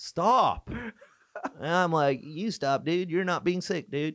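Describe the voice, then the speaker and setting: A man speaks with an Irish accent. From Ireland. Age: 30s. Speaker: touring stand-up comedian. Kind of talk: casual chat. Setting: studio.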